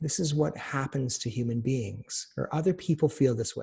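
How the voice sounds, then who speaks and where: A man's somewhat breathy voice, fairly high in pitch, with a dark, mellow tone and a moderate pace. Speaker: doctor teaching cancer survivors. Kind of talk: webinar lecture. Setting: online webinar. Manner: soft, reassuring.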